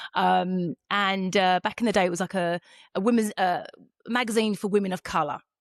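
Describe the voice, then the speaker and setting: A woman with a British accent and medium pitch speaks at a fairly quick pace. The sound is dry and close with no echo, over a quiet background. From England, Essex (born East London). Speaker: podcast host. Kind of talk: casual interview chat. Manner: animated.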